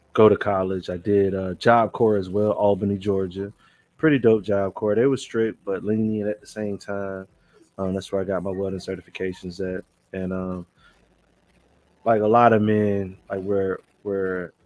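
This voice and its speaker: In a Southern US accent, a man speaks at a moderate pace with a fairly low pitch and monotone, flat intonation. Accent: Southern US country. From Alabama, US South. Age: 40s. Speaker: truck driver and Navy veteran. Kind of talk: casual podcast conversation. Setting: podcast recording.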